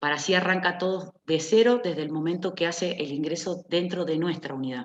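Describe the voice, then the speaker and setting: A woman speaks with a plain, everyday voice, fairly low in pitch. Her pitch varies in an ordinary way. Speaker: nurse. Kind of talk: lecture.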